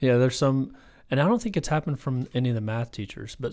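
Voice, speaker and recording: A man with an American accent at a medium pitch, very fast in pace, dark and mellow in tone, with ordinary pitch variation, on a very clean recording with a silent background. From US South. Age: 40s. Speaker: math instructional coach. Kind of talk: casual chat.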